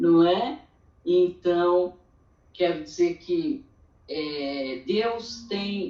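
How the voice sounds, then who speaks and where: Her pace is very slow. The woman's medium-pitched voice has lively intonation. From Brazil, interior of São Paulo state. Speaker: church women's meeting speaker. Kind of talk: testimony.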